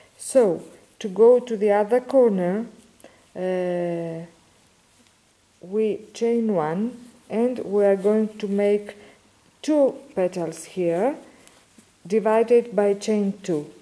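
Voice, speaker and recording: Very slow speech in a Greek accent, with long, frequent pauses, ordinary pitch variation and a dark, mellow tone. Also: woman, medium pitch for a woman. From Greece. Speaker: crochet teacher. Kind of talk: tutorial. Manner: halting.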